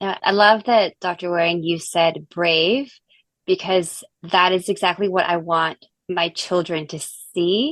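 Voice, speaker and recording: At a fairly slow pace, a woman uses an ordinary speaking voice with fairly even intonation. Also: fairly low pitch for a woman. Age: 40s. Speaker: dermatologist. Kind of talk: panel discussion.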